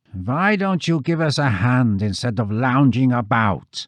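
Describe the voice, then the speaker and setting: A man's gruff, put-on character voice at medium pitch, with very wide pitch swings and a moderate pace. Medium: read story.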